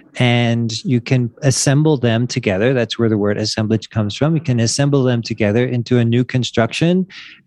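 A man with a plain, everyday voice and an American accent talks at a fairly quick pace with hardly any pauses, a medium pitch, and ordinary pitch variation. His loudness is very even, and the background is quiet. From Wilmington, Delaware, US. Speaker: life coach. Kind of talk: casual interview. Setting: video call.

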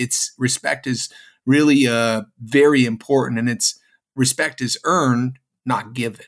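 A man with a plain, everyday voice at medium pitch, fairly slow in pace and fairly even in intonation. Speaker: podcast co-host. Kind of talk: casual chat. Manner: conversational, uses 'right?' often.

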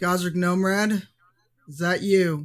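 A man shouts in a gruff, put-on character voice. His pitch is high. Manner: yelling.

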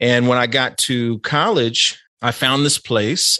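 With an American accent, a man speaks in a bright, sharp tone at a medium pitch and with fairly even intonation. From US inner city. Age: 40s. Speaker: professor and historian. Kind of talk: casual interview conversation.

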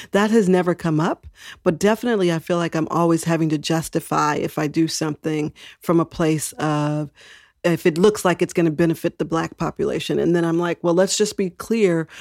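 In an American accent, a woman uses an unremarkable speaking voice, fairly low and fairly even, at a fairly quick pace, sounding dry and close with no echo on a very clean recording with a silent background. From Texas. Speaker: civil rights official. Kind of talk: interview.

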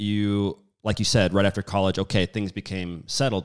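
On a very clean recording with a silent background, a man with an unremarkable speaking voice talks fairly quickly at a fairly low pitch. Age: 30s. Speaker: podcast host. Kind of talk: casual interview.

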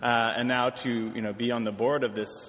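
A man with an American accent speaks at a very fast pace in a flat, monotone delivery over noticeable background noise. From US, Washington D.C. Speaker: nonprofit director. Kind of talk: lecture. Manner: halting.

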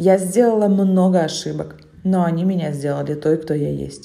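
A dark, mellow tone at a moderate pace, with ordinary pitch variation and audible room echo. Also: woman. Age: 30s. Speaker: podcaster, mother of five. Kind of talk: personal monologue.

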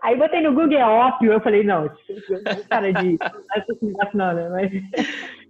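Over noticeable background noise, a woman with a fairly high pitch talks at a fairly slow pace with lively intonation. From Rio de Janeiro, Brazil. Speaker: physical education professional. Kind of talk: casual chat.

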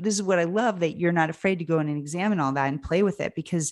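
Fairly low in pitch, a woman with an American accent uses a normal speaking voice with ordinary pitch variation. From Pennsylvania, US. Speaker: podcast host and producer. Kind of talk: casual interview.

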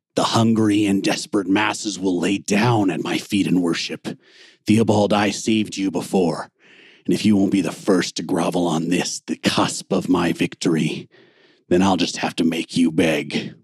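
A man speaks in a menacing tone with a very deep, low pitch and fairly even intonation at a moderate pace. The sound is dry and close, with no echo. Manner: menacing, gloating.

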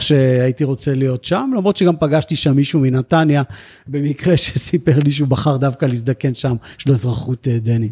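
In a plain, everyday voice, a man speaks at a moderate pace with a fairly high pitch, the sound dry and close with no echo. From Israel, grew up on a kibbutz. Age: 40s. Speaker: senior civil servant for elderly services. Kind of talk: interview.

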